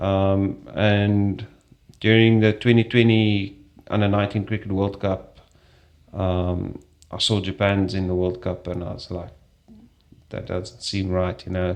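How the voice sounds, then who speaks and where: The speaker has a South African accent and monotone, flat intonation. The pace is fairly slow, with long, frequent pauses. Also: man, fairly low pitch for a man. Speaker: strength and conditioning coach. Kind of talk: interview.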